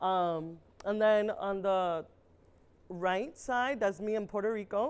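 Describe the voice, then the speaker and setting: In a very clean recording with a silent background, a woman speaks at a fairly high pitch with an American accent. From Pennsylvania, Allentown. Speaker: science speaker. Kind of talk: educational talk. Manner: loud; animated.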